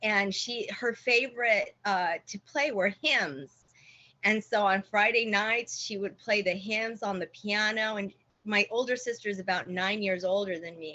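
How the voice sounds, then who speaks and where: A woman's medium-pitched voice, with ordinary pitch variation, proceeds at a fairly slow pace. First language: Spanish. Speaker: church member giving testimony. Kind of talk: testimony. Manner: halting.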